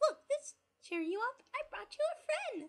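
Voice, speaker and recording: In a put-on character voice, a female-sounding speaker goes squeaky and sing-song at an extremely high pitch, with very wide pitch swings and a moderate pace. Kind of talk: creepypasta reading. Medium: read story. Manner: gleeful, bouncy, singsong.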